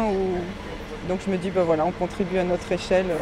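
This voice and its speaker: A woman over noticeable background noise. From Caen, Normandy. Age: 40s. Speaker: commuter, mother. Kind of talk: testimony.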